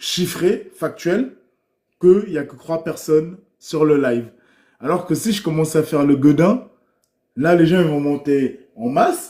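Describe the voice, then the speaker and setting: A loud man speaks at a fairly slow pace and a high pitch. His tone is dark and mellow. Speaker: livestreamer. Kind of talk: livestream monologue. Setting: live stream.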